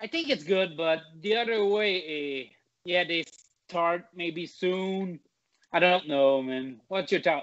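In a Quebec accent, a man speaks very slowly with a high pitch. His pitch variation is ordinary. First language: French. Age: 20s. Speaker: mixed martial arts fighter. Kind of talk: casual interview.

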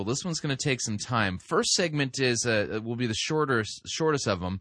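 Against a quiet background, a man with a plain, everyday voice speaks at a medium pitch and a fairly quick pace with lively intonation. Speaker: radio host, sermon reviewer. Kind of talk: talk radio commentary. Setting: studio.

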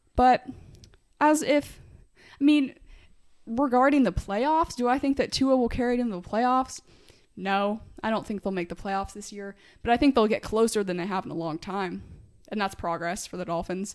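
A woman with an American accent at a fairly high pitch, lively intonation, a moderate pace, long and frequent pauses and big swings in loudness, on a very clean recording with a silent background. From US Midwest (Greenwood, Indiana). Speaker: podcast co-host, football analyst. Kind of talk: casual sports chat. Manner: animated.

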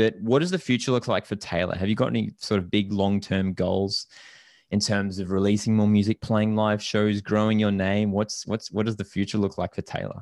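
Over a silent background in a very clean recording, a man with fairly low pitch talks at a fairly quick pace in a monotone, flat intonation. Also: dry, close sound with no echo. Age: 20s. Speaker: podcast host and indie musician. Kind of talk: casual interview chat.

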